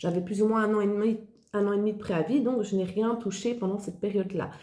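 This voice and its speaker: Audible room echo surrounds a woman speaking at a fairly quick pace, her medium-pitched voice somewhat breathy and dark, mellow in tone, with ordinary pitch variation. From Belgium. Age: 40s. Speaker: online entrepreneur, former occupational therapist. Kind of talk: personal testimony.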